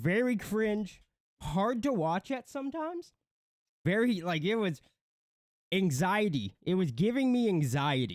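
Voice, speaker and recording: A man with a high voice speaks at a fairly slow pace, his pitch swinging very widely between long, frequent pauses. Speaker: commentary livestream co-host. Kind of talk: casual livestream commentary. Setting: livestream with chat. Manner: loud, shouting.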